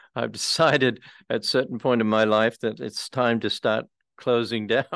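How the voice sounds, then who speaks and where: A man with an Australian accent, medium pitch, fairly even intonation and a moderate pace, over a quiet background. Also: dry, close sound with no echo. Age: 80s. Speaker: retired priest and housing advocate. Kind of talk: community presentation.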